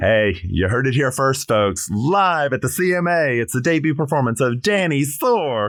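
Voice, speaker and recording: In an American accent, the voice moves through very wide pitch swings on a very clean recording with a silent background. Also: man. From South Carolina. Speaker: drag performer. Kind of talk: podcast interview. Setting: studio. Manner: animated.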